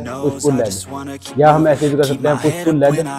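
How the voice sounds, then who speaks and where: A man at a fairly slow pace, with clear music in the background. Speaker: gym trainer. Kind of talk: tutorial. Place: office.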